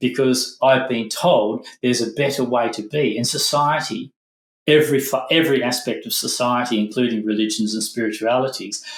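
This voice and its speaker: A man at medium pitch with fairly even intonation. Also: moderate pace. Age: 60s. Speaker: former monk, meditation teacher. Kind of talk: podcast interview. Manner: halting, self-correcting.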